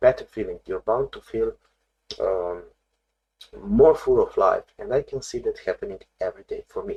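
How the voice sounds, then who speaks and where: A man with a non-native accent talks at a moderate pace, with long, frequent pauses and big swings in loudness, in a dry, close sound with no echo. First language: not English. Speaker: therapist. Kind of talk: video lesson on therapy. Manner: halting, many fillers.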